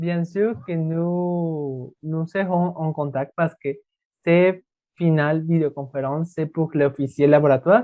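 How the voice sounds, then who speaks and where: A man with a Spanish accent speaks very slowly in a fairly high pitch with fairly even intonation. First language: Spanish (speaking French). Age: 20s. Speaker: language student. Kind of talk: student interview. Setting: video call. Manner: halting.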